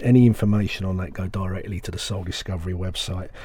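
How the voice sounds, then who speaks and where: With noticeable background noise behind him, a man talks fairly quickly in a fairly low voice. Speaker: radio presenter of soul music show. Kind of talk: radio dj patter. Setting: radio studio broadcast. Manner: enthusiastic, excitable when praising tracks.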